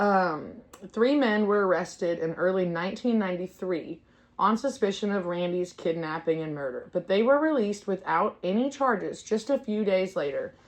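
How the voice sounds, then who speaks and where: Lively intonation marks this woman's speech. Her pitch is medium and her pace moderate. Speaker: true crime podcast host. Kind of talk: casual podcast chat. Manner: loud.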